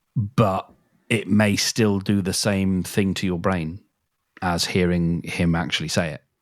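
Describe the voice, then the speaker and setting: Someone with an English accent speaks at a fairly slow pace with fairly even intonation on a very clean recording with a silent background. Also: man, very deep, low pitch for a man. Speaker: podcast co-host. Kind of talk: casual chat.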